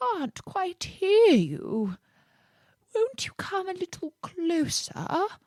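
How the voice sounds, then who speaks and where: Putting on a character voice, a woman speaks very slowly at an extremely high pitch. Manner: feigning weakness, cunning, wheedling.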